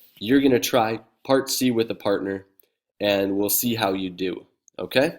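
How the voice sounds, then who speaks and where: A man with a plain, everyday voice and medium pitch speaks at a moderate pace on a very clean recording with a silent background. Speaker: math teacher. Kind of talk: video lesson.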